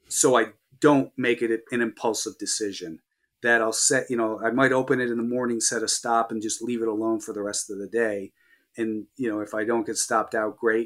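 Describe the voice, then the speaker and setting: A man's medium-pitched, normal speaking voice, fairly quick and fairly even in intonation, on a very clean recording with a silent background. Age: 50s. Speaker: professional stock trader. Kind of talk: interview.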